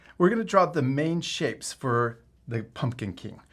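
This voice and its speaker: On a very clean recording with a silent background, a man with an ordinary speaking voice talks at a moderate pace with lively intonation. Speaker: art teacher. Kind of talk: tutorial.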